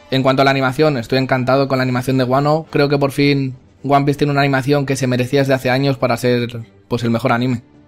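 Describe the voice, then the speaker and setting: A man at medium pitch talking at a very fast pace, flat and monotone, his loudness very even, with music in the background. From Spain. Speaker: anime YouTuber. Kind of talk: interview answers.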